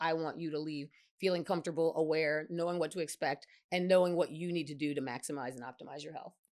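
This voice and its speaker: A woman talks at a very fast pace in an animated tone, her pitch fairly low. The recording is very clean with a silent background. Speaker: physician, women's health specialist. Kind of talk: interview chat.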